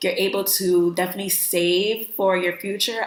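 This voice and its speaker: A woman talks at a fairly slow pace and medium pitch with an American accent. Noticeable background noise is present. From New York. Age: 20s. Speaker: vlogger. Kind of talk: casual vlog talk. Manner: animated.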